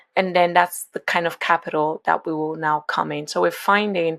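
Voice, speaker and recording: A woman speaks with a Nigerian accent in a very deep, low voice. The recording is very clean, with a silent background. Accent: Nigerian, noticeable. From Nigeria, Lagos. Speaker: venture capital investor. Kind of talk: podcast interview. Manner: conversational, with fillers and restarts.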